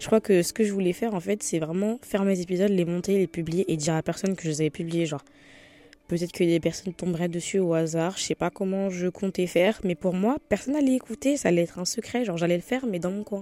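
A woman speaks at a very fast pace in a medium pitch with ordinary pitch variation and a dark, mellow tone. The recording is very clean, with a silent background. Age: young. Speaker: podcast host. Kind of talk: casual chat. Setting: at home in bed. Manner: spontaneous, hesitant.

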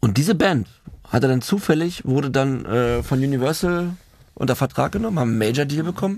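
A man's normal speaking voice, fairly high in pitch, with lively intonation, very even loudness and a fairly quick pace. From Germany, Berlin. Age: 30s. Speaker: film director in addiction recovery. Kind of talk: casual chat, personal life story.

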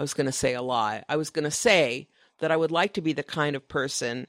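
A woman's very deep, low voice at a moderate pace, on a very clean recording with a silent background. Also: dry, close sound with no echo. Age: 60s. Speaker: author, designer and illustrator. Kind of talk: casual chat. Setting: live podcast recording at a design conference.

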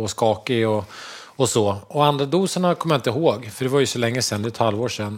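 This is a man speaking. His intonation is lively. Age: 50s. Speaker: construction tradesman and podcast co-host. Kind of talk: casual chat.

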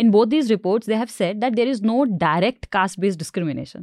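Over a quiet background, a woman talks at a very fast pace with lively intonation and a fairly high pitch, in a dry, close sound with no echo. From India, outside Punjab. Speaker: reporter. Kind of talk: panel discussion. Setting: studio.

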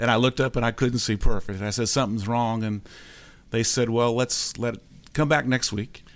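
Fairly even intonation at a fairly quick pace, from a plain, everyday voice. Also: man, medium pitch for a man, very clean recording, silent background. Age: 60s. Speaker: patient sharing recovery story. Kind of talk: interview testimony. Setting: studio.

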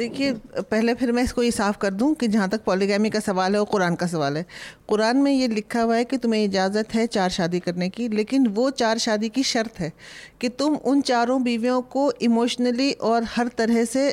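A normal speaking voice from a woman, fairly high in pitch with ordinary pitch variation and very even loudness. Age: 60s. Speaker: historian and author. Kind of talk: panel discussion.

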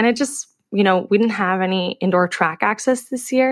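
A woman uses an ordinary speaking voice at a moderate pace with ordinary pitch variation. The very clean recording has a silent background and a dry, close sound with no echo. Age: 20s. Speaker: professional middle distance runner. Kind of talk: casual chat.

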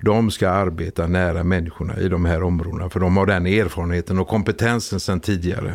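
A man speaks at a very fast pace with hardly any pauses, using a very deep, low pitch and monotone, flat intonation. His loudness is very even, and noticeable background noise is present. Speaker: police officer. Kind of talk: interview.

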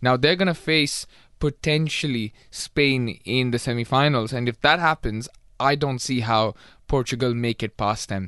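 In a dry, close sound with no echo, a man of medium pitch speaks at a moderate pace in a bright, sharp tone. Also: ordinary pitch variation, quiet background. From England. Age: 20s. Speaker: radio producer and football pundit. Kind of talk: casual sports radio chat. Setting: radio studio.

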